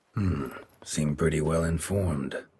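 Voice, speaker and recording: A raspy, put-on character voice from a man, very deep and low in pitch, at a moderate pace. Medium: video game. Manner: terse, dry.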